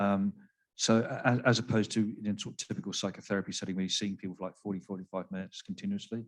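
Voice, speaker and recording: Against a quiet background, a man with an English accent talks at a very fast pace and a fairly low pitch. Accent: English accent, noticeable. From England, Devon. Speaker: psychiatrist. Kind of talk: panel discussion. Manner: halting, many fillers and repeats.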